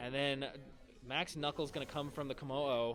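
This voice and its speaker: A man with a medium pitch talks in an animated tone at a fairly quick pace. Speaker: esports commentator. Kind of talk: live commentary. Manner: fast.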